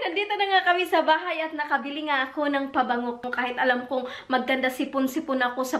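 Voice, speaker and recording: A woman talks in a raised, projected voice. Her pace is fairly quick. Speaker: vlogger. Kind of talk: casual vlog chat. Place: home room. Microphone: camera far.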